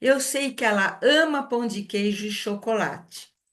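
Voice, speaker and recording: She has a normal speaking voice. Her pitch is fairly high, with ordinary pitch variation. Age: 60s. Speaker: wellness product consultant hosting a live session. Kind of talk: live webinar introduction.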